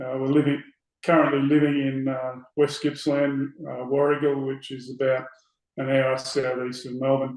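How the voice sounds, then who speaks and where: A man with an Australian accent, fairly high-pitched and monotone with flat intonation, at a moderate pace. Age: 60s. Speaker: election candidate, former police officer. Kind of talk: interview. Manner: hesitant with many fillers.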